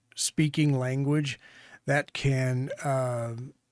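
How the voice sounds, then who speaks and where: A very slow delivery in a Texan accent on a very clean recording with a silent background. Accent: Texan Southern American. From Texas, US South. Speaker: podcast co-host, producer. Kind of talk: casual chat.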